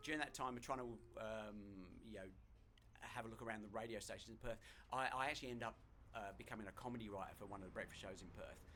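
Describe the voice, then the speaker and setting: A man speaks very fast in a bright, sharp tone with fairly even intonation. Long, frequent pauses break up his speech, and audible room echo surrounds it. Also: medium pitch for a man. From southern England, Hertfordshire. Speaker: hypnotist and stage performer, former radio producer. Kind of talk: casual interview chat. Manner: halting, many repeated words.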